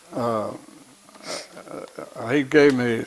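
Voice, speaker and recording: A man's medium-pitched voice with an American accent, over noticeable background noise. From US Midwest (southeast Missouri). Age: 80s+. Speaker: war veteran. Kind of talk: interview. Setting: at home. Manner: halting.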